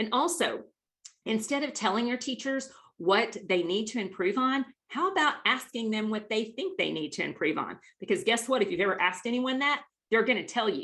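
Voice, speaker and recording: The voice swings very widely in pitch and moves at a fairly quick pace. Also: woman, fairly high pitch for a woman. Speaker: webinar presenter on team leadership. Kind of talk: webinar presentation. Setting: online webinar. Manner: fast; animated.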